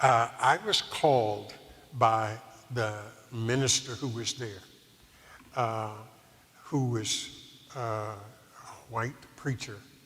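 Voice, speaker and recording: Amid noticeable background noise, a man talks at a very slow pace with fairly even intonation and long, frequent pauses. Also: medium pitch for a man. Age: 70s. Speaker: retired preacher. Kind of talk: interview.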